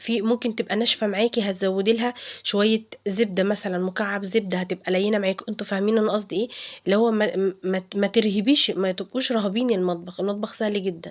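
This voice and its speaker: Her intonation monotone and flat, a woman speaks at a fairly quick pace in a medium pitch. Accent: Egyptian. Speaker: cooking vlogger. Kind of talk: cooking tutorial. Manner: halting, many fillers and restarts; casual, chatty.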